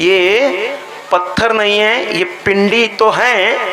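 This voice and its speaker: A man uses a raised, projected voice, high in pitch, with fairly even intonation. Audible room echo surrounds him. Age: 60s. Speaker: religious storyteller. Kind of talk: religious discourse. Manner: emphatic, repetitive.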